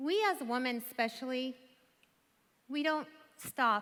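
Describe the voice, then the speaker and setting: A woman speaks at a high pitch with ordinary pitch variation and an Iranian accent. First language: Farsi. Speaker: conference speaker. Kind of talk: motivational speech.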